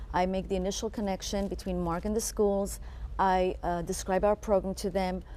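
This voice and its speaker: A woman with an Israeli accent talks at a moderate pace. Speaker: co-director of a children's reading program. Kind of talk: TV interview.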